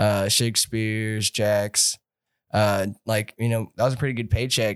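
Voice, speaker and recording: An unremarkable speaking voice from a man with an American accent, medium pitch and moderate pace, on a very clean recording with a silent background. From California. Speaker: rock musician, singer and guitarist. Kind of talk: casual chat.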